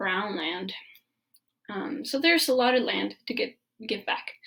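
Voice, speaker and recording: A woman's high, bright and sharp voice. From Mexico. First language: Spanish. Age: 20s. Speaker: permaculture design student. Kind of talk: presentation. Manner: halting.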